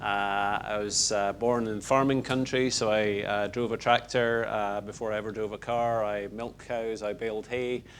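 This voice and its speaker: A man with a Scottish accent speaks at a moderate pace in a fairly low pitch, his flat, monotone delivery running on with hardly any pauses. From Scotland, Lockerbie (Dumfriesshire). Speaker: retired pharmaceutical executive. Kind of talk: interview.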